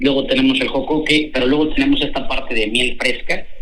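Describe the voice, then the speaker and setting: A man talks at a very fast pace with audible room echo. Noticeable background noise is present too. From central Mexico (Hidalgo). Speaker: chef. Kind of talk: interview.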